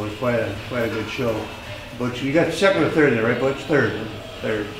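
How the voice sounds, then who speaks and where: A medium-pitched man with an American accent, amid audible room echo and noticeable background noise. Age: 70s. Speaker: weightlifting coach. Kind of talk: casual guided tour. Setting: basement memorabilia room. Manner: halting.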